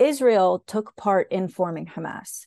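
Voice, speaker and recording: A woman with an American accent at a fairly slow pace, dry and close with no echo, against a quiet background. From US South, Raleigh, North Carolina. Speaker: activist guest explaining Palestinian history. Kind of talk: casual educational interview. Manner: animated.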